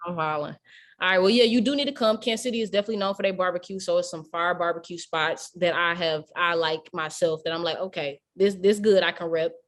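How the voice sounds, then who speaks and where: Speaking very fast in a strong St. Louis accent, a woman with a fairly low pitch and ordinary pitch variation comes through on a very clean recording with a silent background. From St. Louis, Missouri. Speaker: radio host. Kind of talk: casual interview.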